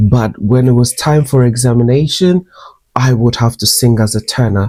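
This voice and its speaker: At a moderate pace, a man speaks with a dark, mellow, somewhat breathy voice of medium pitch, ordinary pitch variation and very even loudness. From Ghana. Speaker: beauty and lifestyle vlogger. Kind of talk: personal storytelling vlog. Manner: animated.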